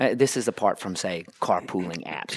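Speaking at a fairly quick pace with an American accent, a man uses a fairly low pitch on a very clean recording with a silent background. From United States. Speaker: mobility industry consultant. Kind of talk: interview. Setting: hotel restaurant. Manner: halting, many repetitions.

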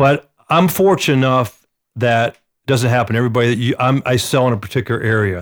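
Speaking very fast with an American accent, a man keeps a medium pitch, ordinary pitch variation and very even loudness. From Atlanta, US South. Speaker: real estate agent. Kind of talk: casual chat.

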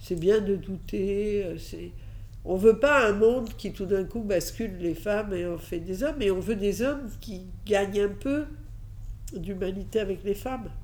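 Audible room echo accompanies a woman who speaks at a fairly slow pace, her medium pitch showing ordinary variation. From Catalonia, Spain, moved to France at 6. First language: Catalan/Spanish (speaking French). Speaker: advertising agency founder. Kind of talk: interview, personal story. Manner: hesitant, many fillers.

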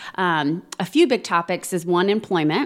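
A woman speaks in a fairly low voice with a Midwestern American accent. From Indiana, Plainfield. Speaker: training institute director. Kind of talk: interview.

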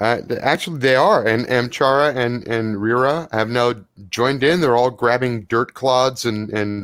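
Reading in an unforced voice

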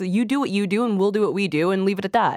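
A woman speaks at a very fast pace. The sound is dry and close with no echo. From small francophone town in Quebec. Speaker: political strategist and columnist, panelist. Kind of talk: panel discussion.

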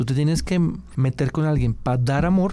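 With a dark, mellow tone, a man speaks with ordinary pitch variation. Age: 40s. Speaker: journalist. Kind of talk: interview. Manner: halting.

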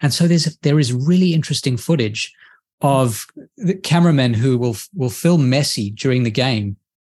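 A man speaks at a moderate pace in a somewhat breathy voice, his intonation lively and his loudness very even. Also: medium pitch for a man. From Australia. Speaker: professor and author. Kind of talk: interview.

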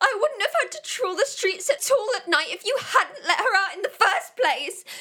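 A put-on character voice with a bright, sharp tone swings widely in pitch at a moderate pace. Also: woman, extremely high pitch for a woman.

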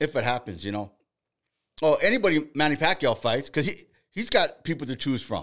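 A man with an American accent, fairly high pitch, vocal fry and an animated tone, with very wide pitch swings at a fairly quick pace, in a very clean recording over a silent background. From Boyle Heights, East Los Angeles. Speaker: boxing podcast host. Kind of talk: casual chat.

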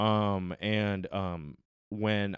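A man's fairly low voice, with ordinary pitch variation, comes through on a very clean recording with a silent background. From Hong Kong and Texas, born in London. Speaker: comedian. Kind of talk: casual chat.

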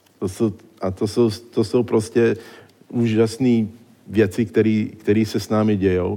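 Speaking at a very slow pace with long, frequent pauses, a man uses a dark, mellow tone, a fairly low pitch, and monotone, flat intonation. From born in exile, trained in the United States. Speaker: neurologist. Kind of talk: public lecture. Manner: halting.

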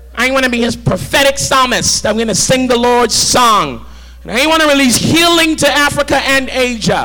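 Noticeable background noise surrounds a man's raised, projected voice. His pitch is extremely high for a man. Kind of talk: sermon. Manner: animated, call-and-response, urgent; exhorting, rhythmic, fervent.

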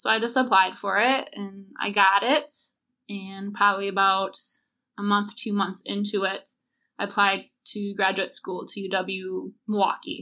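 A woman with an American accent speaks fairly slowly at a medium pitch, her bright, sharp tone and fairly even intonation captured in a very clean recording with a silent background. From Wisconsin, US Midwest. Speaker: librarian. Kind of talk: casual chat.

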